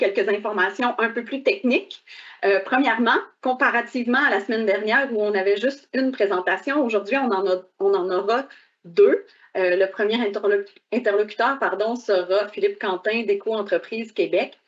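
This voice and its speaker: Her voice is a plain, everyday voice, fairly high for a woman, moving at a moderate pace with ordinary pitch variation. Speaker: government official moderating a webinar. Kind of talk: webinar introduction. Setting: online webcast.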